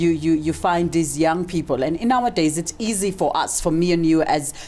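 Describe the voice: The pace is fairly quick. The tone is slightly mellow, with ordinary pitch variation. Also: woman, low pitch for a woman.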